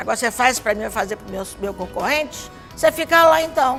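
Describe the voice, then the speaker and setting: A woman talks at a fairly quick pace in a high pitch. Music plays in the background. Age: 70s. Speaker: dance hall owner. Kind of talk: documentary interview answer.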